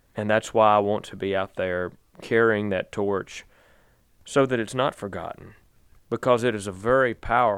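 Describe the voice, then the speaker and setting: With fairly even intonation, a man's voice sits at a fairly low pitch. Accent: Virginia. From Virginia, Danville. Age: 30s. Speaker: bluegrass singer. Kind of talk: interview.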